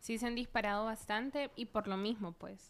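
Against a silent background in a very clean recording, a woman with an unremarkable speaking voice talks at a moderate pace, fairly high in pitch, her intonation fairly even. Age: 30s. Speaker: physician. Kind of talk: casual chat.

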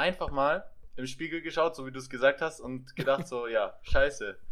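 A man uses a normal speaking voice at a moderate pace with ordinary pitch variation. The recording is very clean, with a silent background. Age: 20s. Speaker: physiotherapy trainee and podcaster. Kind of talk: casual chat.

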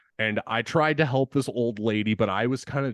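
In a dry, close sound with no echo and a quiet background, a man speaks at a moderate pace, his tone animated and his intonation lively. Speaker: podcast co-host, music and horror segment. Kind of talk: casual chat, venting personal work stories. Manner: animated, profane.

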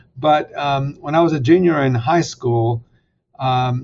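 Using a plain, everyday voice, a man talks at a fairly slow pace with a medium pitch. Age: 60s. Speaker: seminary president and author. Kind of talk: interview about faith and his book.

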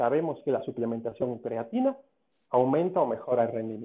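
Here a man speaks at a medium pitch. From Cuba. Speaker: sports medicine doctor. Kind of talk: interview.

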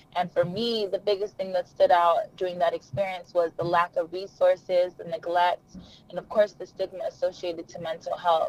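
Over noticeable background noise, a woman talks at a moderate pace with hardly any pauses, her medium-pitched voice flat and monotone while its loudness swings widely. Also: dry, close sound with no echo. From US, Nigerian immigrant household. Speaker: mental health nonprofit founder. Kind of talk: interview.

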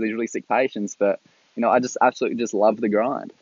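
The man, with an Australian accent, gets his words out at a very fast pace. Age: 20s. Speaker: new graduate ICU nurse. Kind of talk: solo podcast monologue. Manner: halting, many fillers.

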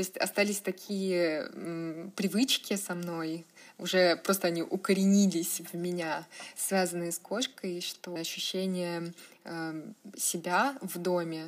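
Here a woman talks at a fairly slow pace. Her pitch sits fairly low. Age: 20s. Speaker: blogger. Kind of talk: casual interview.

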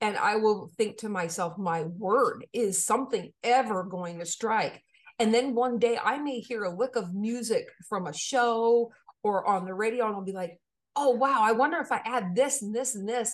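Here a woman with an American accent has a normal speaking voice, fairly high in pitch. Her pace is moderate and her pitch variation ordinary. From Maine, US. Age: 40s. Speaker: composer and music educator. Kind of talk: interview conversation.

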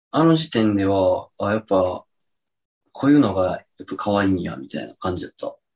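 A man's fairly low-pitched voice with very wide pitch swings. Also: fairly quick pace, big swings in loudness. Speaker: podcast co-host. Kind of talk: casual chat.

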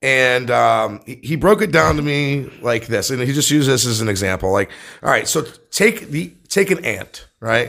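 This man's medium-pitched voice has a bright, sharp tone with vocal fry and very wide pitch swings. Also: moderate pace. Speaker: podcast producer. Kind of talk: casual chat.

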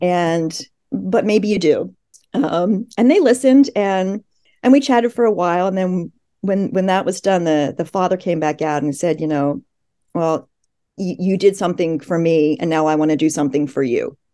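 Speaking in a Mid-Atlantic accent, a woman has a fairly low pitch, a dark, mellow tone and lively intonation at a moderate pace. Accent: American, Mid-Atlantic. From US, Philadelphia suburbs. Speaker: journalist and author. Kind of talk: interview.

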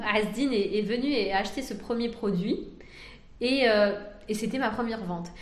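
With audible room echo, a woman with a fairly high pitch and ordinary pitch variation speaks at a moderate pace, leaving long, frequent pauses. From France. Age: 30s. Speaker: entrepreneur. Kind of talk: interview.

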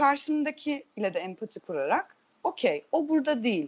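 A woman's high voice with very wide pitch swings. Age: 30s. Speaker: theatre teacher. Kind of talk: casual chat.

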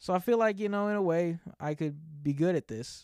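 A man talks at a moderate speed. The background is silent and the recording very clean. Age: 20s. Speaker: podcast host and YouTube content creator. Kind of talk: casual solo monologue. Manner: halting, many fillers and laughs.

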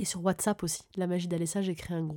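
Recorded very cleanly against a silent background, a woman talks at a fairly quick pace. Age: 30s. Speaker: spiritual podcaster, numerology and moon energy guide. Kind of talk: casual spiritual talk to listeners. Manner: enthusiastic, animated.

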